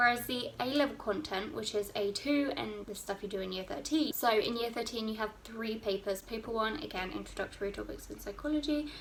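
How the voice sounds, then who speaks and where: A woman with an English accent, fairly high in pitch, at a fairly quick pace with ordinary pitch variation, over noticeable background noise. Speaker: student vlogger. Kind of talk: casual advice vlog.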